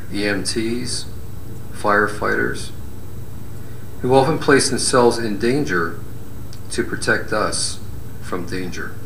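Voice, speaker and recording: A man speaks fairly low in pitch with ordinary pitch variation, at a very slow pace with long, frequent pauses. Audible room echo and light background noise are present. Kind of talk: prayer. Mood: solemn, reverent. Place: hall.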